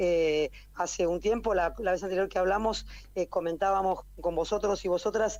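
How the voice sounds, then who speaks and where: Against a quiet background, a woman of medium pitch speaks at a moderate pace, keeping her loudness very even and her intonation fairly even. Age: 60s. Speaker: historical memory activist. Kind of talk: interview. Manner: halting.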